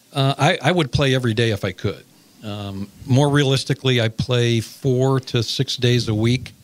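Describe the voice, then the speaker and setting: A man has an ordinary speaking voice at a medium pitch. He talks at a moderate pace with ordinary pitch variation. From Chicago, US Midwest. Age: 60s. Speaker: sports director. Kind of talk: radio interview.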